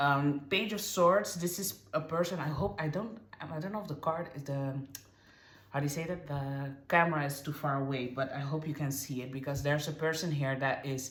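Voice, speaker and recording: Moderate pace and ordinary pitch variation, with noticeable background noise and audible room echo. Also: woman, very deep, low pitch for a woman. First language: not English. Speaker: tarot reader. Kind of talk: tarot reading to camera. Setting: on camera, card shown far from camera. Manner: halting, many fillers and restarts.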